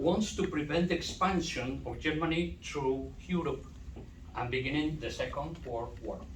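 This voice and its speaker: With a Spanish accent, a man talks at a moderate pace amid audible room echo and noticeable background noise. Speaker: doctoral student. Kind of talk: conference talk. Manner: halting.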